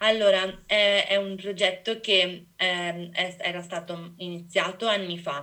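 The voice has a bright, sharp tone and monotone, flat intonation, moving at a very slow pace with hardly any pauses. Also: woman, medium pitch for a woman. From Venice area, Italy. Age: 20s. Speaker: biology student. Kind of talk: casual interview.

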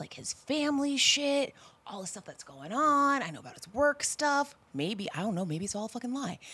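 An animated American accent at a moderate pace, with very wide pitch swings. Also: woman. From California. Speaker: podcast guest telling dating story. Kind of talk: casual chat, storytelling.

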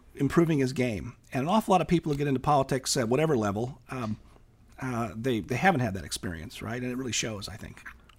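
A man with an American accent talks at a very fast pace. His voice is somewhat breathy. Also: medium pitch for a man, lively intonation. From California. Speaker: professor and author. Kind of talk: casual interview conversation.

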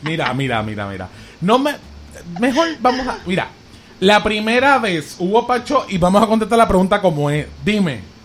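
There is noticeable background noise. A man with a high voice speaks at a moderate pace with lively intonation. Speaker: podcast host. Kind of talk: casual chat. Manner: animated.

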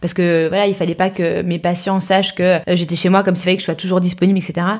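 Her speech runs at a fairly quick clip. This woman's voice sits at a medium pitch. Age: 30s. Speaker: entrepreneur and mother. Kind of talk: interview.

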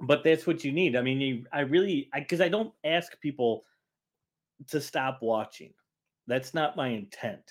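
A man with an American accent speaks in an unremarkable speaking voice at a moderate pace, with fairly high pitch and ordinary pitch variation. The recording is very clean, with a silent background. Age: 50s. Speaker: author and investigative journalist. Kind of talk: casual interview.

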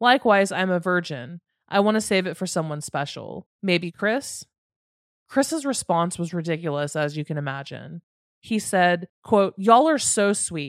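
A woman with a plain, everyday voice speaks at a moderate pace in a fairly low pitch, her intonation lively, on a very clean recording with a silent background and a dry, close sound with no echo. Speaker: podcast host. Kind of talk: true crime storytelling narration.

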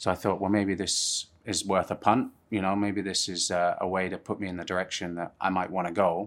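In a southern English accent, a man with a very deep, low pitch talks at a fairly quick pace in a monotone, flat intonation with hardly any pauses, recorded very cleanly against a silent background. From England, Plymouth and Surrey. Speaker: film sound recordist. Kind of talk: casual interview chat.

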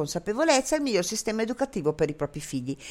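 A woman talks at a very fast pace with very wide pitch swings. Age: 60s. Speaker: web radio host. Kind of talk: casual interview. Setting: Skype call with headphones.

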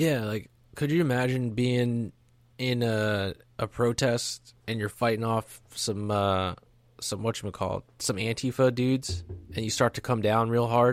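In a very clean recording with a silent background, a man with an ordinary speaking voice talks at a medium pitch with fairly even intonation. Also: moderate pace. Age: 30s. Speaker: history podcast co-host. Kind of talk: casual chat.

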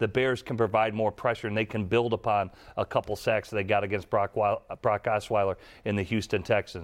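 In a dry, close recording with no echo and a quiet background, a man with a fairly low pitch talks at a fairly quick pace in a monotone, flat intonation. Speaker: former NFL quarterback, football analyst. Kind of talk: sports podcast discussion.

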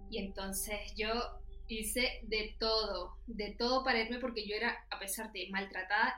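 A woman's fairly high voice at a moderate pace, monotone and flat, with audible room echo. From Venezuela. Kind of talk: casual chat.

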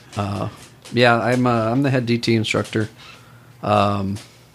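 In an American accent, a man speaks at a fairly slow pace with a calm, relaxed tone and medium pitch. Noticeable background noise is present. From Austin, Texas. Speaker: police officer and jiu-jitsu instructor. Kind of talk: casual interview chat.

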